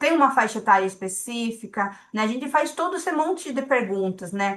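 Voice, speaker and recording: A woman with a non-native accent speaks at a moderate pace. Her tone is bright and sharp. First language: not Portuguese (speaking Portuguese). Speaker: statistical consultant. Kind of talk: lecture. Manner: hesitant, repeats words.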